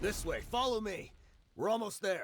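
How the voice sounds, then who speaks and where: A man speaks in a put-on character voice. His pitch is high and his pace is moderate. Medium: video game. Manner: brisk, confident.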